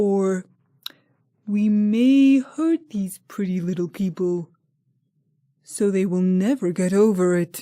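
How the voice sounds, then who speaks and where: Long, frequent pauses break up a put-on character voice that sounds female, pitched in the middle and delivered at a fairly slow pace. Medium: read story.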